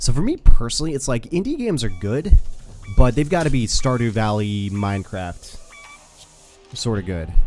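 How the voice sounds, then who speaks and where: An American accent at a moderate pace, with long, frequent pauses and music in the background. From United States. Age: 30s. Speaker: gaming streamer. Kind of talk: casual chat. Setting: live stream.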